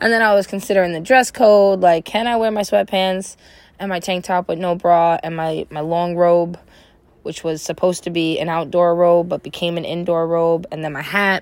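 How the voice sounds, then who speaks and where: A woman talks at a moderate pace in an ordinary speaking voice, her pitch fairly low and her intonation fairly even. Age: 30s. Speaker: podcaster, mother of three. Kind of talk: casual monologue.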